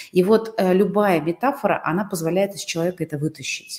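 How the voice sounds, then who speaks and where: A woman with a normal speaking voice, medium pitch and lively intonation. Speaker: interview show host and coach. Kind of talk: interview. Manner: warm, polite.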